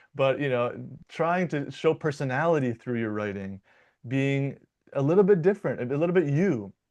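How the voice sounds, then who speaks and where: A man's fairly high voice at a moderate pace with lively intonation against a quiet background. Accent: American. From US Midwest, Michigan. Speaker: dialect coach and linguist. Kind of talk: interview conversation. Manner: casual, many fillers and repetitions.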